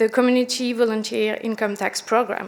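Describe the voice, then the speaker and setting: A woman in a French accent, fairly high in pitch, at a moderate pace. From France. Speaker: product manager, panelist. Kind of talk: conference panel presentation.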